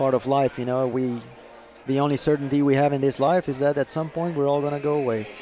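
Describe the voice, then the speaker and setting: Speaking at a fairly quick pace with long, frequent pauses, a man uses a fairly high pitch and monotone, flat intonation amid noticeable background noise. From Brazil. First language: Portuguese. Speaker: racing driver. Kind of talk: casual chat over dinner.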